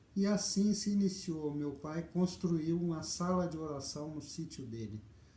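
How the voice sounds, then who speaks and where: In a room with audible echo, a man speaks fairly slowly at a fairly high pitch. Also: ordinary pitch variation. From Brazil, interior of Paraná near Londrina. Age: 60s. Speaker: video storyteller. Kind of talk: life story testimony. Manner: hesitant, with fillers.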